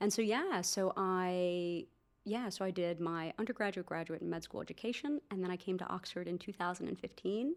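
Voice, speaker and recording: In a plain, everyday voice, a woman with an American accent speaks at medium pitch with fairly even intonation. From US, New Jersey. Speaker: doctor and startup founder. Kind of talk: podcast interview.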